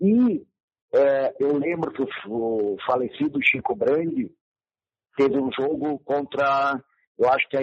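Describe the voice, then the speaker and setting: Fairly high in pitch, a man speaks in a plain, everyday voice. He talks at a fairly slow pace with ordinary pitch variation. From Rio Grande do Sul, Brazil (Camaquã). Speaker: retired football player and coach. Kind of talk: interview. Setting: phone call.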